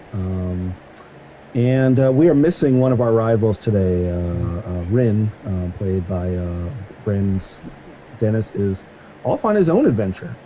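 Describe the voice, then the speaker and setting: A very slow delivery with long, frequent pauses, ordinary pitch variation and noticeable background noise. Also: man. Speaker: game master. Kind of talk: casual chat. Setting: live stream. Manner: halting.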